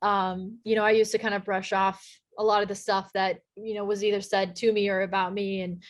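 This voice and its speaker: Someone with an American accent speaks at a fairly quick pace over a quiet background. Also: woman. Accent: slight Texan accent, toned down. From Texas. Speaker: sports play-by-play broadcaster. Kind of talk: casual interview chat.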